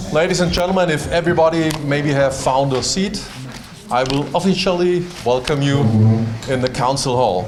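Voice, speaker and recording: A man with a German accent, fairly high-pitched, at a moderate pace with lively intonation, amid audible room echo and noticeable background noise. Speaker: mayor. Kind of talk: formal welcome speech. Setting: town hall reception with audience. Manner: reading from paper.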